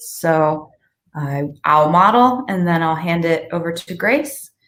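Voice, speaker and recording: At a very slow pace, a woman with an American accent speaks at a medium pitch. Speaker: host, education nonprofit director. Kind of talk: live webinar hosting.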